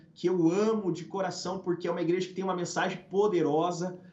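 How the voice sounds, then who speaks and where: A man's high-pitched voice at a fairly quick pace. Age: 30s. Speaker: pastor. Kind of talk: testimony.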